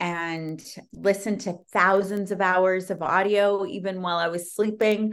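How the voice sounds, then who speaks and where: Against a quiet background, a woman talks at a fairly slow pace with a medium pitch. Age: 40s. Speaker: TV producer. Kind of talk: interview. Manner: animated.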